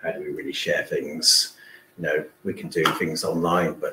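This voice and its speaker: A man speaks at a fairly quick pace with audible room echo and light background noise. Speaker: guest. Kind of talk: lecture. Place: hall. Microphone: camera far.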